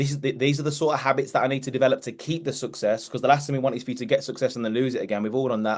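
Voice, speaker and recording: The man's tone is animated. His pitch sits in the medium range. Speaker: mindset coach. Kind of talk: motivational team call talk. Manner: fast.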